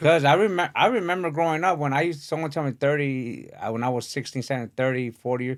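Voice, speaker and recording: A man with a normal speaking voice talks at a fairly quick pace, his pitch fairly high with ordinary variation, on a very clean recording with a silent background. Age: 40s. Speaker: boxing podcast host. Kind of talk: casual interview chat.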